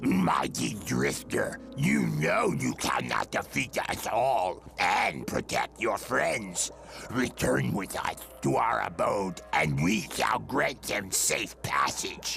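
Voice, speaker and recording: Growling in a put-on character voice, a man speaks at a very slow pace with clear music in the background. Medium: comedy sketch. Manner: grandiose, formal.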